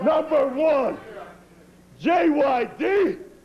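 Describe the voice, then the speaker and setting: A man's menacing tone over noticeable background noise. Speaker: professional wrestler. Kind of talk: wrestling promo. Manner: menacing, boastful.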